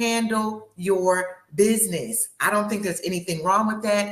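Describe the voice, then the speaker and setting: Amid audible room echo, a woman talks in an animated tone at a moderate pace and medium pitch. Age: 60s. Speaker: life coach. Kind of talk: panel discussion.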